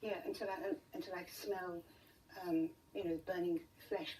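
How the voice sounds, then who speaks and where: With noticeable background noise behind her, a woman with a British accent talks at a fairly quick pace with very wide pitch swings. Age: 70s. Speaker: interview guest with rare pain condition. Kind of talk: TV interview. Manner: halting.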